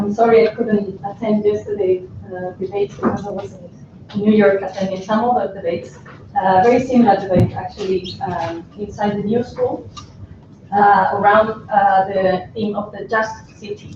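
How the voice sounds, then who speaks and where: A woman talks at a moderate pace with a medium pitch and monotone, flat intonation. Noticeable background noise runs underneath. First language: Spanish. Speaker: civil society panelist. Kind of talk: panel presentation.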